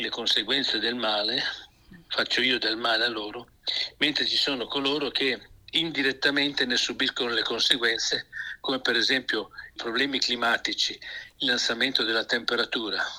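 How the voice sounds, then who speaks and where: A man is talking. His pace is moderate. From Emilia-Romagna, Italy. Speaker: pastor. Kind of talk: radio interview on Bible topics.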